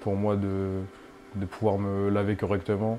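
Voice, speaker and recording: A man with a dark, mellow tone and fairly low pitch. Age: 20s. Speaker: dialysis patient. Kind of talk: interview testimony. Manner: hesitant, many fillers.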